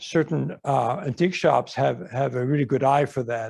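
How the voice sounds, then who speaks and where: Using a Dutch accent, a man talks at a moderate pace in a medium pitch, with vocal fry and ordinary pitch variation. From Netherlands. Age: 80s+. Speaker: artist. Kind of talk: audience Q&A at an artist talk. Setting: museum talk with audience. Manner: casual, halting with many fillers.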